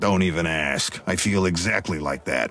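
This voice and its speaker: Putting on a raspy character voice, a man talks at a moderate pace with a very deep, low pitch. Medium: video game. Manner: gruff, sardonic.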